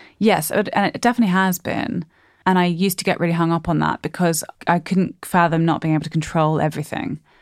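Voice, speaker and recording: A woman with a fairly low pitch talks at a very fast pace and very even loudness. The recording is very clean with a silent background, dry and close with no echo. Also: ordinary pitch variation. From Australia, Sydney. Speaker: comedian and theatre writer-performer. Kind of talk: casual chat.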